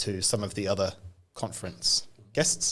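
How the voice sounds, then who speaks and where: The speaker is a man. He has a British accent. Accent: British-sounding. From New Zealand. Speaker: AI evangelist, data science leader. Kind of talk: podcast interview.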